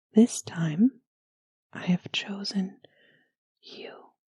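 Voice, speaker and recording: Soft-spoken and somewhat breathy, a woman talks at a very slow pace in a gentle, dark, mellow tone, with a dry, close sound with no echo. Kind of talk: bedtime story reading. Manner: soft-spoken, gentle.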